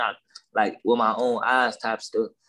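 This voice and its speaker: Against a quiet background, a man with an American accent talks at a medium pitch with fairly even intonation. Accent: Southern-tinged Los Angeles. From Watts, Los Angeles. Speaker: rapper. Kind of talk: casual interview chat.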